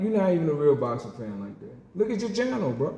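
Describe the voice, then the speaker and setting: Amid audible room echo, a man speaks in an animated tone at a high pitch, with very wide pitch swings. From US South. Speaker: boxing game YouTuber. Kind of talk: heated rant response video.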